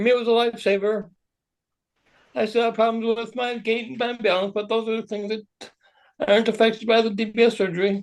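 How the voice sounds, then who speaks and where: Here a man talks with a high pitch in a monotone, flat intonation. His pace is fairly quick. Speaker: Parkinson's patient in support group. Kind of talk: personal testimony. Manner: soft-spoken; fast.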